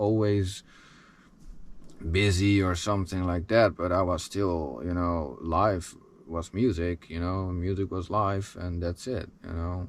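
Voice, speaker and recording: Someone with a Dutch accent speaks at a fairly slow pace against a quiet background. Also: man. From Netherlands. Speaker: musician. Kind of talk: personal life story. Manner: halting.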